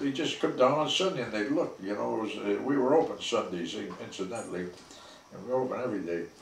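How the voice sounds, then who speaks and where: A man talks at a very fast pace with lively intonation. Light background noise and audible room echo surround him. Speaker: former resident with medical background. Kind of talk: interview reminiscence. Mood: warm reminiscing. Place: office.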